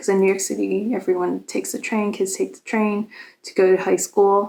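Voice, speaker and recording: With a Boston accent, a woman speaks at a medium pitch in a dark, mellow tone. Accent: American, Boston area. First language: Cantonese Chinese. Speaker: vlogger. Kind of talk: casual chat. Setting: hotel room. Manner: hesitant, many fillers.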